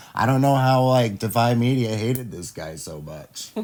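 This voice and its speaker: A man with a Midwestern accent. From US Midwest. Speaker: pop culture commentator. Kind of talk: casual reaction chat. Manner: casual, halting with fillers.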